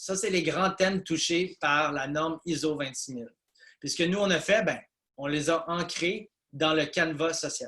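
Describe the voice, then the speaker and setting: Here a man speaks at a moderate pace. His intonation is fairly even. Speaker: business consultant presenter. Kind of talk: webinar presentation. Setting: video call webinar. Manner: hesitant with many fillers.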